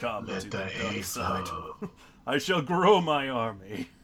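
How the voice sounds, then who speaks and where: This man uses a put-on character voice pitched at a medium level. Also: fairly slow pace. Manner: sinister, menacing.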